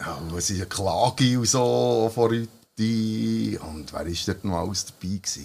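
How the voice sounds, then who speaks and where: A man with a very deep, low pitch, at a fairly slow pace with hardly any pauses and very wide pitch swings. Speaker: podcast host and musician. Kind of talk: casual chat. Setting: band rehearsal room.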